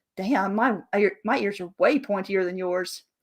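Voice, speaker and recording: A woman's put-on character voice at a medium pitch and moderate pace. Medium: read story. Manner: flippant, carefree.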